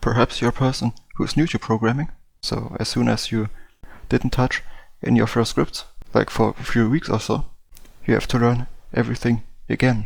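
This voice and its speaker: This man speaks with a non-native accent at a moderate pace. His loudness stays very even, broken by long, frequent pauses. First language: not English. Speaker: game development tutorial youtuber. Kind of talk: casual explainer talk to camera. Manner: halting, frequent fillers.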